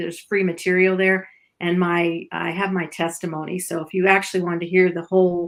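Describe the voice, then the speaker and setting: A woman at medium pitch and a fairly quick pace, on a very clean recording with a silent background. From Canada, Ottawa. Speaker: Messianic Torah teacher. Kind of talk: interview.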